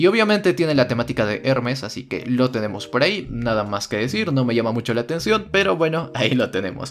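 Against noticeable background noise, a man at medium pitch talks at a very fast pace in an animated tone with very wide pitch swings. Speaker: gaming YouTuber. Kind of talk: game review tutorial.

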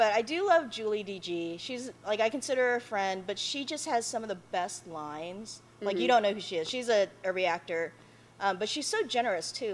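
A woman talks at a moderate pace with hardly any pauses. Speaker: YouTuber answering questions. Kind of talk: casual vlog chat. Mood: relaxed, laughing. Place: hall.

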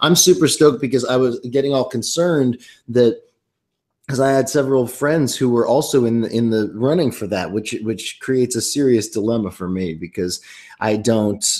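The background is quiet. Delivery comes at a moderate pace with ordinary pitch variation. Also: man. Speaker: singer-songwriter and actor. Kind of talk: casual interview chat. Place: home room. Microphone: webcam.

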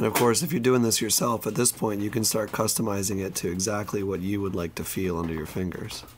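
This man speaks very fast at a fairly low pitch with ordinary pitch variation. Noticeable background noise runs behind him. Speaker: saxophone repairman. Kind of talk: casual tutorial talk to camera.

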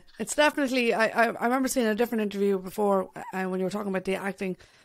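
A woman with an Irish accent, medium-pitched, very fast and fairly even in intonation, against a quiet background. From Ireland. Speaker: podcast host and bassist; podcast host. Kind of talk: casual interview. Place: home room. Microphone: studio mic.

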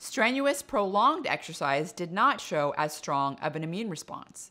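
The voice has a bright, sharp tone. It moves at a moderate pace. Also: woman. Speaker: presenter. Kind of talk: science explainer. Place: kitchen. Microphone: studio mic.

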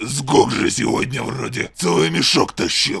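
A raspy man puts on a cartoonish character voice with very wide pitch swings. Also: medium pitch for a man, moderate pace. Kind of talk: comic cartoon dub. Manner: blunt, dumb, short choppy phrases.

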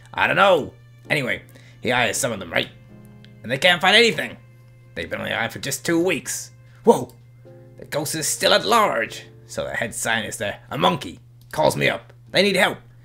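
In a put-on character voice, a man speaks at a fairly high pitch and a moderate pace with long, frequent pauses, while faint music plays in the background. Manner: voice slipping, yells the case title; casual, chatty, upbeat.

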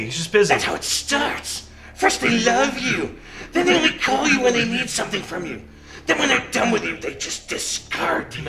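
A fairly high-pitched voice comes through over clear background noise. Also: moderate pace. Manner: menacing, insistent, rising to shouts.

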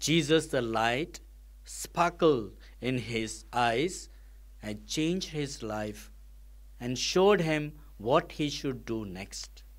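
A man's medium-pitched voice at a very slow pace, with lively intonation

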